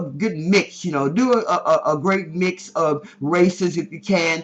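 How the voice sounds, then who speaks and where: Ordinary pitch variation in a man's high voice. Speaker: professor and ministry mentor. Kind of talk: tutorial. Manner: fast.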